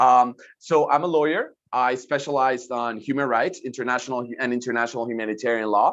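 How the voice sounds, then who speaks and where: Hardly pausing at all, a man with a Spanish accent talks at a medium pitch with fairly even intonation. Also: fairly quick pace. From Colombia. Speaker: lawyer and human rights advisor. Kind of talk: lecture. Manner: fast.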